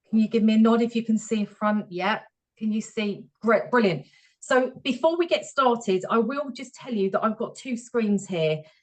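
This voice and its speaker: Her voice is somewhat breathy. The woman's pitch is fairly high. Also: ordinary pitch variation. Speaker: HR professional, webinar speaker. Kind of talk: webinar presentation. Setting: video call webinar. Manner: fast.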